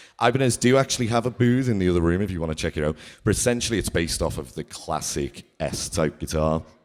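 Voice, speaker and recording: Talking very fast with hardly any pauses, a man with a strong Liverpool accent uses a very deep, low pitch that swings very widely, all in a very clean recording with a silent background. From Liverpool, England. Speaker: guitarist. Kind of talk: masterclass. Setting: stage with audience. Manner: casual.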